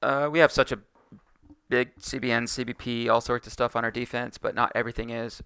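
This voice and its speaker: A man speaks fairly quickly in a bright, sharp tone with monotone, flat intonation. The sound is dry and close, with no echo. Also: medium pitch for a man. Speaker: card game content creator. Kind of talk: tutorial. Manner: fast; casual with fillers.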